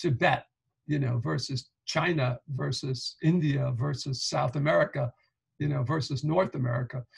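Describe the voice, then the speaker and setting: Speaking at a moderate pace, a man with a New York accent has a fairly high pitch and vocal fry. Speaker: professor. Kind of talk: lecture.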